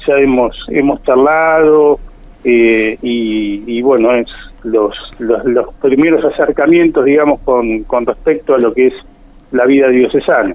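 A plain, everyday voice from a man, pitched fairly high, with ordinary pitch variation at a fairly slow pace. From Buenos Aires province, Argentina. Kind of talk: radio interview. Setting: phone call.

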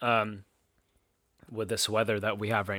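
A man with a Californian accent, a fairly low pitch and a bright, sharp tone, in a very clean recording with a silent background. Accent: Californian American English. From Southern California. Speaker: podcast host. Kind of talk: casual chat.

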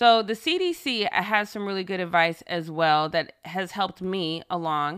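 On a very clean recording with a silent background, a woman with an unremarkable speaking voice moves at a moderate pace with hardly any pauses. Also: medium pitch for a woman, ordinary pitch variation. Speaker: podcast host. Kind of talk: podcast hosting, scripted-style monologue with interview clips.

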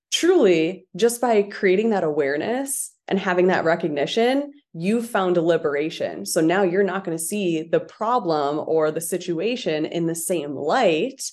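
An unremarkable speaking voice with lively intonation. It runs on with hardly any pauses. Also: woman, fairly low pitch for a woman. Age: 20s. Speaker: confidence and manifestation coach. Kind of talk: guided visualization with spoken affirmations, led eyes-closed; casual interview chat. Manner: slow, calm, soothing, first-person affirmations; casual, chatty, many 'like' fillers.

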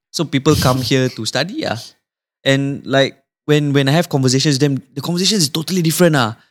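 With a Singaporean accent, a man speaks very fast at a fairly high pitch, on a very clean recording with a silent background. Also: ordinary pitch variation. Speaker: podcast co-host. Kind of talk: casual chat.

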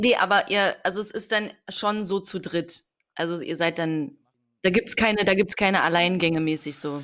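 The recording is very clean and the background silent. An unremarkable speaking voice keeps a moderate pace, its pitch varying in an ordinary way. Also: woman, medium pitch for a woman. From eastern Germany, Potsdam. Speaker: podcast host. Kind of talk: interview.

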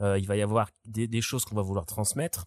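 Fairly quick, somewhat breathy speech with fairly even intonation and a dry, close sound with no echo, on a very clean recording with a silent background. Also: man. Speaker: music teacher and musician. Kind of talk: casual chat.

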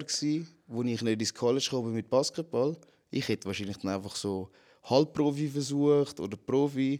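A man speaks at a moderate pace with a medium pitch and a dark, mellow tone. His pitch varies in an ordinary way, and the recording is very clean with a silent background. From Switzerland, Zurich. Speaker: MMA fighter. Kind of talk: casual chat.

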